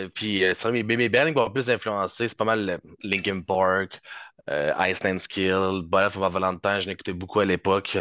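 Against a quiet background, a man with a fairly low pitch and a bright, sharp tone speaks at a very slow pace with fairly even intonation, sounding dry and close with no echo. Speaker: rhythm guitarist. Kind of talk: casual interview.

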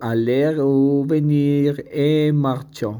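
A man with a dark, mellow tone in a Spanish accent, at a very slow pace. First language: Spanish (speaking French). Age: 30s. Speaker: language student. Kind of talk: reading aloud.

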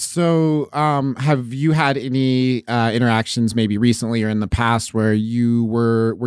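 In an unremarkable speaking voice, a man with an American accent speaks at a medium pitch with fairly even intonation, recorded very cleanly against a silent background. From southeastern Oregon. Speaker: radio podcast host and comedian. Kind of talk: casual chat.

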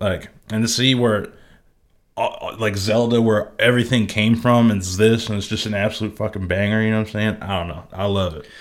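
Against a silent background on a very clean recording, a man talks at a fairly quick pace in an unremarkable speaking voice, fairly low in pitch with fairly even intonation. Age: 20s. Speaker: video game podcast co-host. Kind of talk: casual chat.

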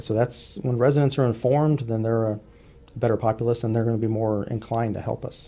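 Spoken at a very fast pace in a Texan accent, the delivery keeps a fairly even intonation. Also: man, medium pitch for a man. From US South. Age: 50s. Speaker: law enforcement officer. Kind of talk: radio interview. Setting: studio.

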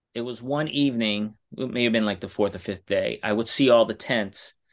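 Against a quiet background, a man talks at a moderate pace, medium pitch and ordinary pitch variation. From New York City, Brooklyn. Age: young. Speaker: writer and podcaster, hiker. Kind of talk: interview, casual storytelling.

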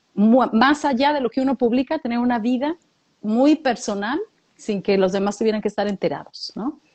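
A woman's high voice with a Latin American accent, moderate pace and ordinary pitch variation. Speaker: podcast co-host. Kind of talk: casual chat.

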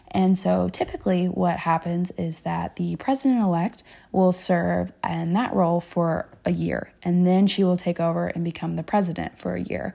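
Speaking at a moderate pace with hardly any pauses, a woman talks with an American accent. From Kentucky, Louisville. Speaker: student organization president, pre-med student. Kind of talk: casual interview.

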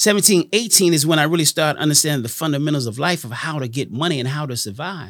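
Talking at a very fast pace with hardly any pauses, a man uses lively intonation at a fairly high pitch. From Washington D.C. and Miami. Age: 50s. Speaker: entrepreneur and nightclub co-creator. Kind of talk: interview.

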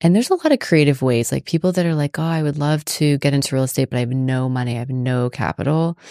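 Very fast delivery in a dark, mellow tone with an American accent, ordinary pitch variation, hardly any pauses and a dry, close sound with no echo. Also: woman, very deep, low pitch for a woman. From US South, South Florida (Palm Beach County). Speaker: finance and real estate entrepreneur. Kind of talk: casual interview.

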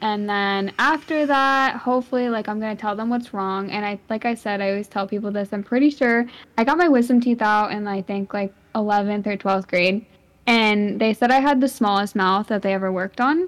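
A woman with an ordinary speaking voice talks at a fairly quick pace in a fairly high pitch. Her pitch variation is ordinary, and the recording is very clean, with a silent background. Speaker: podcast host and streamer. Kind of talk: casual chat.

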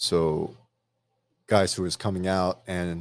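A man speaks in a very deep, low voice with an American accent. The recording is very clean, with a silent background. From outside the US. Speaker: podcast co-host. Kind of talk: casual chat. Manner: loud. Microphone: new microphone.

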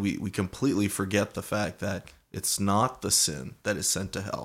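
A plain, everyday voice from a man, fairly low in pitch, at a moderate pace in a very clean recording with a silent background. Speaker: co-host, Bible reader. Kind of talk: casual chat.

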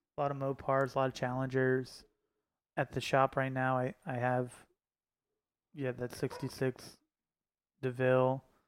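In a dry, close sound with no echo and a silent background on a very clean recording, a man with an American accent speaks at a moderate pace and medium pitch, his intonation monotone and flat, with long, frequent pauses. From Pennsylvania, near Scranton. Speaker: air suspension shop owner. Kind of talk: casual chat.

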